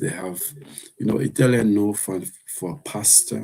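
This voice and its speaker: In a Jamaican accent, a man speaks fairly slowly with lively intonation, his fairly low voice dark and mellow in tone. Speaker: live streamer. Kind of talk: casual live stream chat. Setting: live stream with earpiece.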